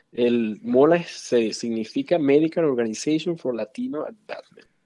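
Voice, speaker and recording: A man's dark, mellow voice moves along at a fairly slow pace. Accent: Venezuelan. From Venezuela, Valencia. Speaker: physician. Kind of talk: interview conversation.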